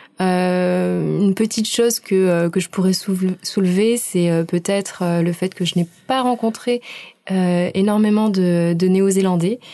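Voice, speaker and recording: Very slowly, a woman speaks at a medium pitch in a dark, mellow tone with fairly even intonation. Her loudness stays very even against a quiet background. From southern France, Aix-en-Provence. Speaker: cultural centre staff, international volunteer. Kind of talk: radio interview.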